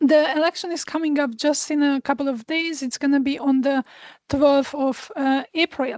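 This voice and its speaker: A woman with a Hungarian accent, high-pitched, at a moderate pace, with fairly even intonation and a dry, close sound free of echo. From Hungary. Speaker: astrologer. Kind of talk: astrology forecast talk. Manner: hesitant, many fillers. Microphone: new small microphone.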